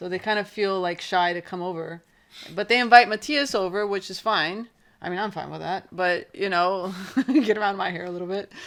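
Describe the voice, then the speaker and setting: Heard on a very clean recording with a silent background, a woman with an American accent and a normal speaking voice talks fairly quickly at a medium pitch, with ordinary pitch variation and big swings in loudness. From Naples, Italy (American family). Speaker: podcast co-host. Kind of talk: casual chat. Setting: home recording.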